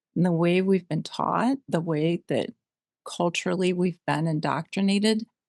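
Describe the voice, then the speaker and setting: A woman talks at a moderate pace in a plain, everyday voice, fairly low in pitch with fairly even intonation. The sound is dry and close, with no echo. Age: 60s. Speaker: interview guest, van traveler. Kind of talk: podcast interview.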